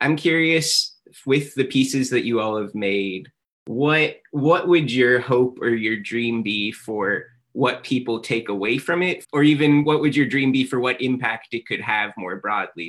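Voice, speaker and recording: At a fairly slow pace, a man uses a normal speaking voice, medium in pitch with ordinary pitch variation. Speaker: educator and moderator. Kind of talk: moderated Q&A. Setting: video call with live audience.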